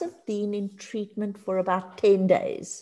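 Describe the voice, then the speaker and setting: A woman with a Johannesburg accent and a fairly high pitch, speaking at a fairly slow pace on a very clean recording with a silent background. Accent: Johannesburg South African English. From Johannesburg, South Africa. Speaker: addiction counselor and lecturer. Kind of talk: casual interview.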